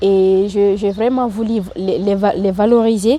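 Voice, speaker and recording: This woman speaks at a very slow pace. Her pitch is fairly high. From Mauritania. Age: 20s. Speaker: training programme participant. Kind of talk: interview testimony. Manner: halting.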